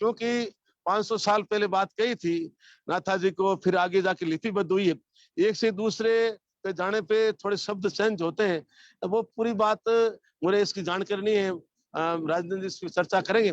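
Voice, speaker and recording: A man talks with a high pitch. The sound is dry and close with no echo, and his intonation stays fairly even. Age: 70s. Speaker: speaker on scripture. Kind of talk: religious talk. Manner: halting.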